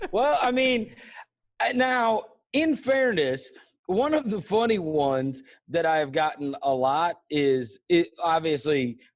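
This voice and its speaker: A high-pitched man with an American accent, very wide pitch swings, very even loudness and a very slow pace. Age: 40s. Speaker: sports podcast host. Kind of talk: casual interview.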